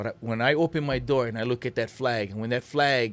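In a Hawaiian accent, a man speaks at a medium pitch and a moderate pace with fairly even intonation. The recording is very clean, with a silent background. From Hawaii (Lahaina, Maui). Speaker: waterman and cultural advisor. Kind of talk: interview. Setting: studio.

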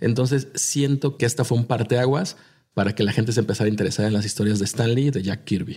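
This man speaks very fast in a somewhat breathy voice with a dark, mellow tone and very even loudness. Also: medium pitch for a man, ordinary pitch variation. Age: 30s. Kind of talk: casual chat.

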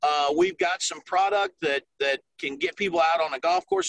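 In a dry, close recording with no echo, a man with a Southern US accent and a high pitch speaks with fairly even intonation. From South Carolina. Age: 50s. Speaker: golf tourism ambassador. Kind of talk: interview.

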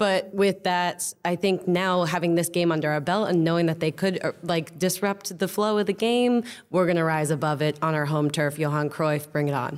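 With an American accent, a woman speaks at a moderate pace in a fairly low pitch, with ordinary pitch variation, hardly any pauses and very even loudness. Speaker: comedian. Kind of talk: casual chat. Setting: theater stage with audience. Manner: animated.

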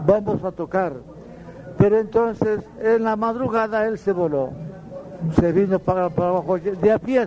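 A man's high-pitched voice with ordinary pitch variation at a moderate pace, over noticeable background noise. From Colombian Caribbean, Valledupar area. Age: old. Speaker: accordionist. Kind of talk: interview, storytelling. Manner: halting.

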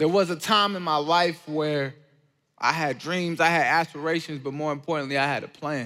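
The man's voice is fairly high, with a bright, sharp tone. He speaks at a moderate pace on a very clean recording with a silent background. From Georgia, US. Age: 20s. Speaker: college student and speaker sharing testimony. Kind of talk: testimony talk. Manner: animated.

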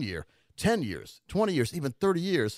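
Recorded very cleanly against a silent background, a man's voice carries vocal fry and very wide pitch swings in a dry, close sound with no echo. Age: 50s. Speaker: financial advisor and radio host. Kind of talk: radio talk show. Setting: studio.

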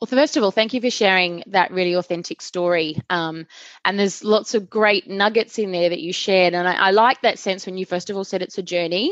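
A woman with a normal speaking voice talks at a fairly quick pace with hardly any pauses. Her pitch is medium with ordinary variation, and the sound is dry and close with no echo. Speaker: podcast host and performance coach. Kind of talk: interview conversation.

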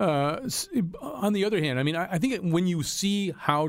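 Speaking fairly quickly with an American accent, a man uses an ordinary speaking voice and lively intonation. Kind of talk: panel discussion on politics.

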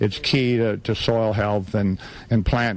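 A man's normal speaking voice, medium in pitch, with fairly even intonation and an American accent. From Nebraska Sandhills. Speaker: cattle rancher. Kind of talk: interview.

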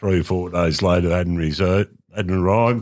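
Recorded very cleanly against a silent background, a man with an Australian accent speaks at a moderate pace in a very deep, low pitch. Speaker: former football club administrator. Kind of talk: casual chat.

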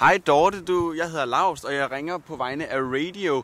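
A man's unremarkable speaking voice at a fairly slow pace with ordinary pitch variation. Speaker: radio host. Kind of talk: casual chat.

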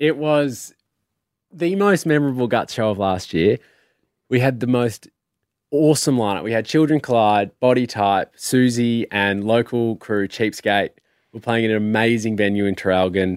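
The man has an Australian accent, a medium pitch with ordinary variation and a moderate pace, heard in a dry, close sound with no echo. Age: 30s. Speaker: musician. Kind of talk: casual chat. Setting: studio.

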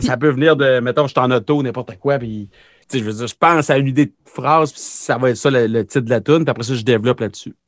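A man talks in a normal speaking voice of medium pitch with ordinary pitch variation, in a dry, close sound with no echo and a quiet background. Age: 30s. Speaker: country pop singer-songwriter. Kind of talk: casual interview.

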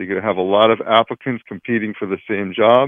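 This man has an unremarkable speaking voice, pitched in the medium range, with fairly even intonation. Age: 40s. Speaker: employment lawyer. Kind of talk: radio interview.

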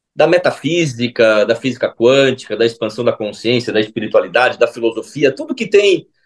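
This man has a plain, everyday voice, pitched in the middle and delivered at a moderate pace. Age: 40s. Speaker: holistic therapist and speaker. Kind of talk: casual interview chat.

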